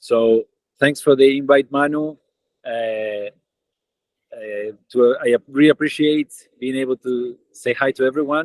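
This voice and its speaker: A man speaks at a medium pitch and a fairly slow pace, with fairly even intonation and long, frequent pauses. The sound is dry and close, with no echo. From Argentina. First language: Spanish. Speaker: tech company co-founder. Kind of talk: online webinar greeting.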